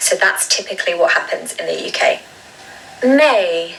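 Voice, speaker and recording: With noticeable background noise behind her, a woman speaks in a southern English accent. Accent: British (southern English RP-like). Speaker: English pronunciation teacher. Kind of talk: tutorial. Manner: slow, drawn-out model pronunciations.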